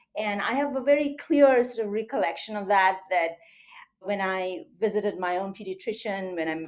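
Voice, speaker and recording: In an Indian accent, a woman speaks at a moderate pace. Her pitch is medium, with ordinary variation. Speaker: surgeon and medical school faculty. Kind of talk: interview.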